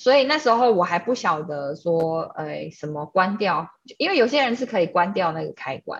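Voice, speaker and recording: The voice moves at a fairly slow pace in very wide pitch swings. It sounds somewhat breathy. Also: woman. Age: 30s. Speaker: energy painting artist, gallery founder. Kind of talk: casual interview chat.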